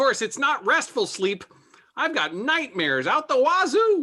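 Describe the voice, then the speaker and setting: Someone uses a put-on character voice, high in pitch, at a moderate pace. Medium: comedy sketch. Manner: earnest, sentimental.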